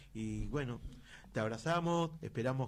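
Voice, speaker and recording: Medium male pitch at a moderate tempo, with normal pitch movement. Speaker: radio host. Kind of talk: radio interview.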